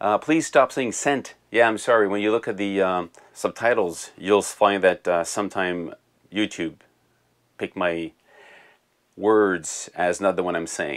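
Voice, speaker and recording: In a French Canadian accent, a man with a fairly low pitch and ordinary pitch variation speaks on a very clean recording with a silent background. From Quebec. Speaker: music tech YouTuber. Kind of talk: casual Q&A video answering viewer comments. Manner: halting, with repeated words.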